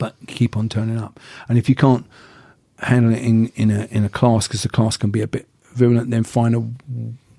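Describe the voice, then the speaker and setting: A man with an English accent speaks at a medium pitch in a dark, mellow tone and a flat monotone, recorded dry and close with no echo. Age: 60s. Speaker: martial arts instructor. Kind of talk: casual chat.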